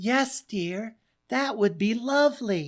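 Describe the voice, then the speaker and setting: A female-sounding put-on character voice, fairly high-pitched and fairly slow. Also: very clean recording, silent background. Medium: read story. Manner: gentle, hesitant.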